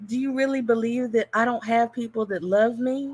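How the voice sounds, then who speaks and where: This soft-spoken voice keeps a fairly even intonation. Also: woman. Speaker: engineer speaking in online debate space. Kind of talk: heated online discussion. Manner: halting, repeats words.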